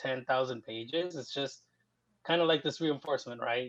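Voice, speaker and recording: A fairly high-pitched man with a Spanish accent, moderate pace and fairly even intonation. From US, grew up undocumented, born in Mexico. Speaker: writer and communications professional. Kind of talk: casual interview.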